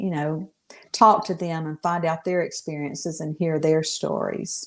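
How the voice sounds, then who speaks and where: Her voice sits fairly low. This woman talks in a Southern US accent. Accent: Southern American. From Texas, USA. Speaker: novelist. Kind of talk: podcast interview answer.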